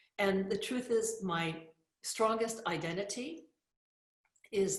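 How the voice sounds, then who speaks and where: Somewhat breathy and at a very slow pace, a woman with an American accent speaks with ordinary pitch variation. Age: 60s. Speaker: spiritual teacher and author. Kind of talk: motivational talk.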